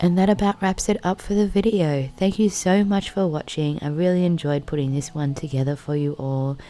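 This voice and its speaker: Speaking with an Australian accent and hardly any pauses, a woman has a relaxed, dark, mellow tone at a fairly low pitch. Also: ordinary pitch variation, fairly quick pace. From Australia, Blue Mountains NSW. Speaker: vlogger. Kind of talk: vlog outro.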